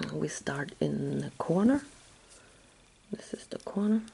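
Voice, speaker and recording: There is light background noise as a woman talks at a fairly slow pace. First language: German. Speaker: crochet tutor. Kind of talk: tutorial. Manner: halting, with many fillers. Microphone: phone near.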